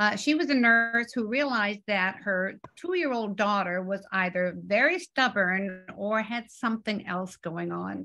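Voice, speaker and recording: A woman's medium-pitched, bright, sharp voice at a fairly slow pace, with hardly any pauses and ordinary pitch variation. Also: quiet background. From Canada. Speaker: author and hearing loss advocate. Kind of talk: book presentation and Q&A. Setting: video call. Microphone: video call.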